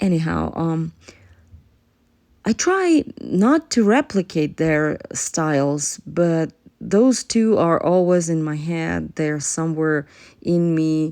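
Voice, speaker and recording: Over a quiet background, the speaker talks at a very slow pace in a dark, mellow tone with ordinary pitch variation. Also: woman, fairly low pitch for a woman. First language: not English (English is third language). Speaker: painter. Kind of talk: narrated painting process. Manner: halting, many fillers.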